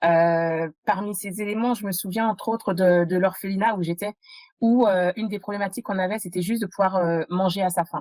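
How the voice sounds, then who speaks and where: Here a woman talks at a medium pitch with fairly even intonation. She moves at a fairly quick pace. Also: dry, close sound with no echo. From France (adopted as a child from abroad). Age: 30s. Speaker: entrepreneur, podcast guest. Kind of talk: interview testimony. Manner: halting, many fillers.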